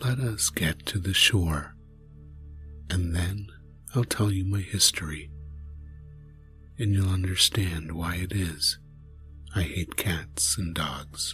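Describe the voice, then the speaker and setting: A man uses a shaky, put-on character voice at a fairly slow pace. Long, frequent pauses break his speech over music in the background. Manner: trembling with passion.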